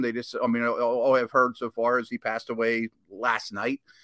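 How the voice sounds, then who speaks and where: Recorded very cleanly with a silent background and a dry, close sound with no echo, a man with an American accent and a plain, everyday voice talks at a fairly quick pace with ordinary pitch variation. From Pittsburgh, Pennsylvania. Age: 40s. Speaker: former NFL scout, analyst. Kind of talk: casual sports chat.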